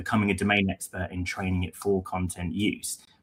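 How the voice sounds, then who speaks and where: A man with a British accent, fairly low in pitch, at a fairly quick pace. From London, England. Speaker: head of content, writer. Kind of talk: webinar presentation.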